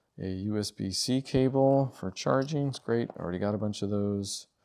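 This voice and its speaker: A man talks at a fairly slow pace with ordinary pitch variation, and the background is quiet. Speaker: gear reviewer. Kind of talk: casual unboxing commentary.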